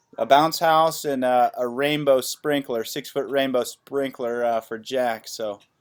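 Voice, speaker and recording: A man with a normal speaking voice talks at a fairly slow pace with hardly any pauses and fairly even intonation. The recording is very clean, with a silent background. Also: medium pitch for a man. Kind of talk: casual podcast interview host.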